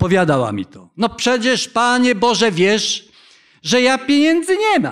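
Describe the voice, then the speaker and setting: A man's very slow speech with very wide pitch swings over a quiet background. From Poland. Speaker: pastor. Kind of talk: sermon. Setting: church. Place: church. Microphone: podium.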